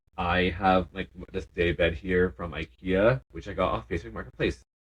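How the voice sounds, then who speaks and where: A man's very deep, low voice comes through with vocal fry. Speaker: podcast co-host. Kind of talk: casual chat. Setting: home basement living area.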